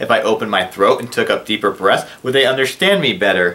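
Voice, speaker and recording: This man's tone is bright and sharp. He talks at a fairly quick pace. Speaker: video blogger with hearing loss. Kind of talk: casual vlog monologue. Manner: tends to mumble when speaking fast; animated, sarcastic.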